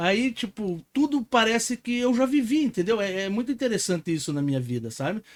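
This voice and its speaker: Lively intonation runs through fairly quick speech with hardly any pauses. The sound is dry and close with no echo, in a very clean recording over a silent background. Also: man, high pitch for a man. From interior of Paraná, Brazil. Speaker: podcast host and entrepreneur. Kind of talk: casual podcast chat.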